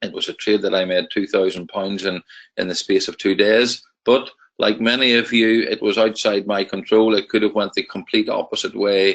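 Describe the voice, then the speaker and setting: Speaking at a moderate pace, a man talks with a Northern Irish accent. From Northern Ireland. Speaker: trading educator. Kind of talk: webinar presentation. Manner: hesitant, many fillers.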